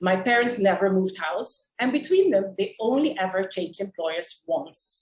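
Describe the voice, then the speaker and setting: A woman with a Curaçao accent speaks at a moderate pace, her pitch swinging very widely. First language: Papiamento. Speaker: public speaking club member. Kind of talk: prepared speech.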